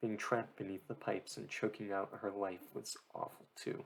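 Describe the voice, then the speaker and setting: Soft-spoken and fairly low-pitched, a man talks at a moderate pace with ordinary pitch variation. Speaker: audiobook reader. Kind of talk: reading aloud. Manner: slurring.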